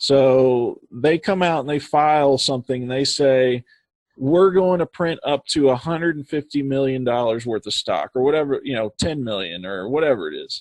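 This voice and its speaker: A man with a fairly high pitch speaks at a moderate pace with ordinary pitch variation, in a dry, close sound with no echo. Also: quiet background. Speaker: stock day trader. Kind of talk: tutorial webinar with screen share. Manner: casual, halting with many fillers.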